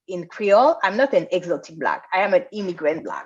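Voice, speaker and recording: A woman with a strong French accent talks at a medium pitch. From France. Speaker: activist and writer. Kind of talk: lecture. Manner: halting.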